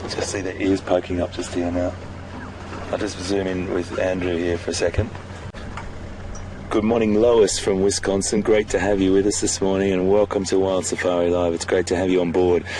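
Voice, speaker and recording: Through noticeable background noise, a man with a very deep, low pitch speaks in a monotone, flat intonation at a moderate pace. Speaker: safari guide. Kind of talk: live commentary. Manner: halting.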